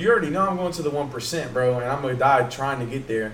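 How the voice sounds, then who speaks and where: With a fairly high pitch, a man talks amid noticeable background noise and audible room echo. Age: 20s. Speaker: podcast host and military aviation technician. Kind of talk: casual chat. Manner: animated.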